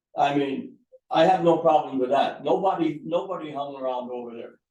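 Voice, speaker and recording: A man speaks with an American accent in a dark, mellow tone. Room echo is audible. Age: 80s+. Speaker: resident speaking at town meeting. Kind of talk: public comment at town board meeting.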